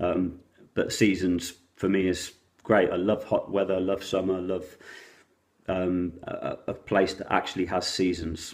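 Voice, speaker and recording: A man with a southern English accent and a very deep, low pitch. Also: very clean recording, silent background. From England, Oxfordshire. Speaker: vlogger. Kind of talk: casual vlog monologue.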